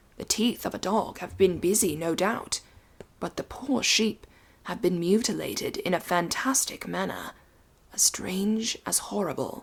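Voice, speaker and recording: A woman whispering at a fairly slow pace. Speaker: audiobook narrator. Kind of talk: Victorian ghost story narration. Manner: soft-spoken.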